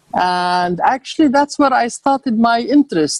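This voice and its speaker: With an Arabic accent, a woman speaks at a moderate pace and with lively intonation, recorded dry and close with no echo. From Jordan (Amman), Palestinian family. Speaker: author and architect. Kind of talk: casual interview. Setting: video call.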